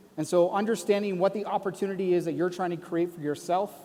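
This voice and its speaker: A man's high-pitched voice with a dark, mellow tone, with a Canadian accent, at a very fast pace. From Canada. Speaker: conference speaker. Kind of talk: conference talk.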